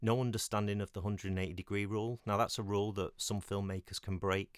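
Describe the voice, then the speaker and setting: Delivered at a very fast pace in a British accent, the speech has a dry, close sound with no echo on a very clean recording with a silent background. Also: man. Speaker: independent filmmaker and former film lecturer. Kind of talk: solo podcast monologue. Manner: halting, many fillers.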